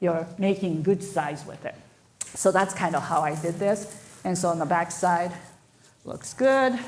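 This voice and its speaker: A woman with a Japanese accent talks in a fairly low pitch with lively intonation. Noticeable background noise and audible room echo can be heard. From Japan, moved to North America at twelve. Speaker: floral designer. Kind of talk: live demonstration. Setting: stage with audience, livestreamed.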